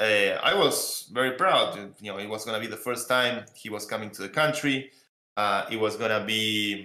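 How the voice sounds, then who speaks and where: A man with an Argentine accent speaks at a moderate pace in a bright, sharp tone with fairly even intonation. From Argentina. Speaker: crypto project founder. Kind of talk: panel interview. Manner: many fillers and repetitions.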